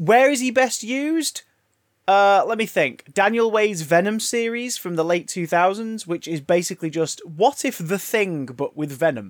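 With an English accent, a man speaks at a high pitch and a moderate pace. His intonation is lively. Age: 30s. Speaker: podcast host. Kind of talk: casual chat.

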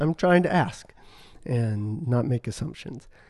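A man at medium pitch speaks in a dark, mellow tone. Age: 50s. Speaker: clinical psychologist. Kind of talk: interview.

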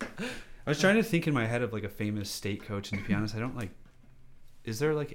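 A man with a plain, everyday voice talks at a fairly quick pace with ordinary pitch variation. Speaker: guest co-host. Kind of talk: casual chat.

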